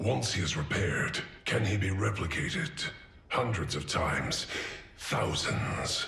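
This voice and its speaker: Over clear background noise and a slight echo, a man puts on a character voice at a fairly low pitch. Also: moderate pace. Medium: short film. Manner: cold, clipped.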